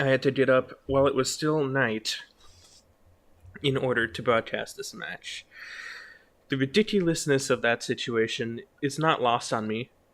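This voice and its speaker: A quiet man's voice with long, frequent pauses and ordinary pitch variation, on a very clean recording with a silent background. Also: medium pitch for a man, moderate pace. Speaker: esports caster. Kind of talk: live commentary. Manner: quiet, inside voice.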